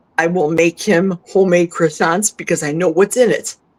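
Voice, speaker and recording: A woman talks in a normal speaking voice with fairly low pitch. Her intonation stays fairly even. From US Midwest, Milwaukee. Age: 60s. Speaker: carnivore diet guest. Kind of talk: casual interview chat.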